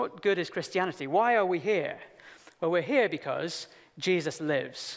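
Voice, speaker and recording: A man at a moderate pace with lively intonation, against a quiet background. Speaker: preacher. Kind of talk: sermon. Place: hall. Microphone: headset.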